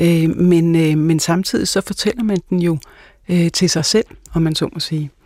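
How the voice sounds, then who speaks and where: In a dark, mellow tone, a woman speaks at a fairly low pitch and a fairly slow pace with ordinary pitch variation. The sound is dry and close, with no echo. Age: 50s. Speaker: pastor and Kierkegaard scholar. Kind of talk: casual chat. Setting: studio.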